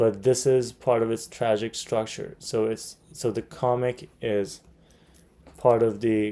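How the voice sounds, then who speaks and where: At a fairly slow pace, a man with a non-native accent speaks at a medium pitch in a dark, mellow tone with fairly even intonation. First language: not English. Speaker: MCAT tutor. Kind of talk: tutorial. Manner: hesitant, many fillers.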